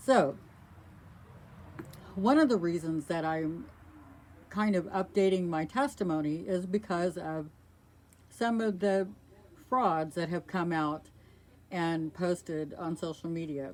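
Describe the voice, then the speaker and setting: A woman's fairly low voice at a very slow pace, with ordinary pitch variation and long, frequent pauses. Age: 60s. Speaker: video blogger, abuse survivor. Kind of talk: personal testimony monologue. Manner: earnest, emphatic.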